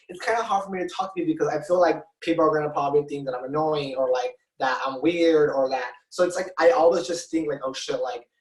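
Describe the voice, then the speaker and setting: A man talks with a Spanish accent at a fairly quick pace. His pitch is fairly high, with ordinary pitch variation. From Mexico. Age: 20s. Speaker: drag performer. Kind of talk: interview. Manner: halting, many fillers.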